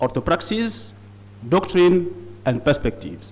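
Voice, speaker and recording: With a non-native accent and vocal fry, a man speaks at a fairly high pitch with very wide pitch swings. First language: not English. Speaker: conference speaker on liturgy. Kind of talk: conference presentation. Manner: halting.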